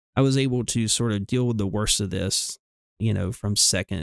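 A man with a Southern US accent speaks at a moderate pace in a fairly low voice with ordinary pitch variation, the sound dry and close with no echo. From US South. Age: 30s. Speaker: nurse. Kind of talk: casual chat.

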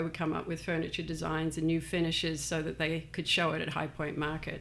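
Noticeable background noise sits behind a woman's fairly low-pitched voice. She talks at a very fast pace. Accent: Australian. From Australia. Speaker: furniture store owner. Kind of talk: casual interview. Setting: studio.

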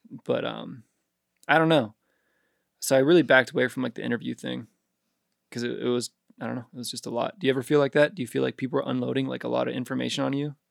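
A very fast pace broken by long, frequent pauses, in a dry, close sound with no echo. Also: man. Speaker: rapper. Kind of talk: casual chat.

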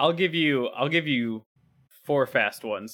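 A plain, everyday voice from a man, medium in pitch and moderate in pace, with ordinary pitch variation. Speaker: podcast host. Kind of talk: casual banter, video game podcast.

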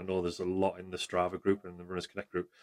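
A man with a North East England accent and a very deep, low pitch, in a dry, close sound with no echo. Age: 40s. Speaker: amateur runner. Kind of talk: casual chat.

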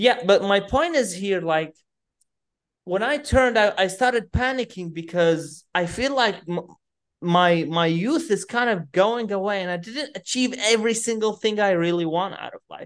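A woman talks at a fairly slow pace and medium pitch. Her intonation is lively. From Iraq (Baghdad). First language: Arabic. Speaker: fitness and personal development coach. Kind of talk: interview conversation. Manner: animated.

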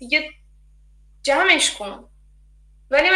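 A woman uses a raised, projected voice with a bright, sharp tone. Her pitch swings very widely at a moderate pace. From Iran. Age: 20s. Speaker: design student. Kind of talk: interview, personal story. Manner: halting.

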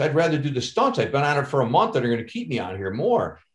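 An American-accented man talks at a very fast pace. His voice is somewhat breathy. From Chicago. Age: 50s. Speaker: actor and stuntman. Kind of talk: casual chat.

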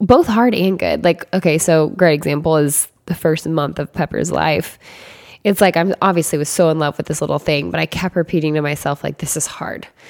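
Speaking at a fairly quick pace with vocal fry, a woman with a very deep, low pitch and ordinary pitch variation is heard in a dry, close recording with no echo. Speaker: podcast co-host. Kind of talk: casual chat.

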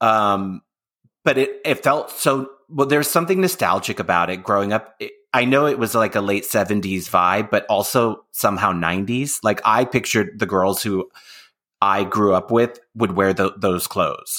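A man's normal speaking voice with an American accent, medium in pitch, at a moderate pace and with lively intonation. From US, San Francisco Bay Area. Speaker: podcast host. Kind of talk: casual interview. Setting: remote video call.

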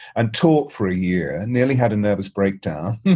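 A man speaks with an English accent at a fairly low pitch. His intonation is lively and his pace fairly quick. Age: 60s. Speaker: voice and presence coach. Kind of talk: interview. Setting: remote call.

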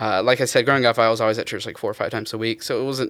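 In a very clean recording with a silent background, a man of medium pitch talks in a monotone, flat way with a Southern US accent. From US South, eastern North Carolina. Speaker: guest. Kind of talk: casual chat.

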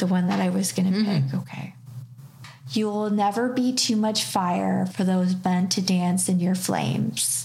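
Amid noticeable background noise, a woman with a Canadian accent speaks at a fairly slow pace. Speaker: reiki practitioner and tarot reader. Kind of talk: casual chat. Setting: her studio space.

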